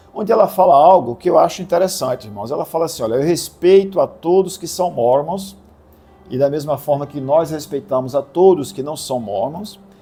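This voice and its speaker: Music plays behind a man with a fairly high voice. His tone is calm, his intonation lively and his pace moderate. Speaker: religious video host. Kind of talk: religious commentary video.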